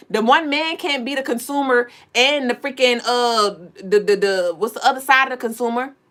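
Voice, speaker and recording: Delivered at a moderate pace, the speech has an animated tone and ordinary pitch variation. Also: woman, high pitch for a woman. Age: 30s. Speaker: spiritual livestream host. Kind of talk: livestream monologue.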